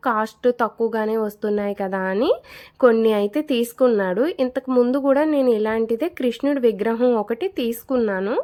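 This woman's fairly high voice has a dark, mellow tone and ordinary pitch variation. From Kakinada, Andhra Pradesh, India. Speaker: vlogger. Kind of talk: casual vlog narration.

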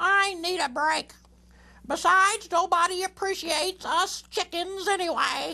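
At a moderate pace, a woman puts on a character voice with an extremely high pitch. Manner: glum, sarcastic.

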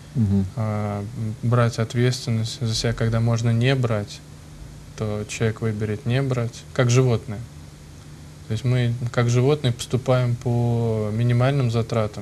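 Somewhat breathy and dark, mellow in tone, the voice moves at a moderate pace in a monotone, flat intonation over light background noise. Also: man. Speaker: priest. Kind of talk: talk show discussion. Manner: halting. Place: studio. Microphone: lapel.

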